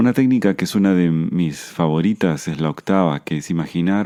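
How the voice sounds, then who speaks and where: A dark, mellow tone from a man, pitched very deep and low. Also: quiet background. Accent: Argentine. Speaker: podcast host, Buddhism and anxiety teacher. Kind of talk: podcast monologue, self-help talk. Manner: hesitant fillers; slowing down, calmer pace.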